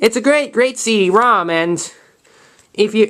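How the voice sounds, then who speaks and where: Using ordinary pitch variation, a man talks with an American accent. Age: 20s. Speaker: YouTuber showing his collection. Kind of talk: casual collection show-and-tell video. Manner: fast; halting, repeats words.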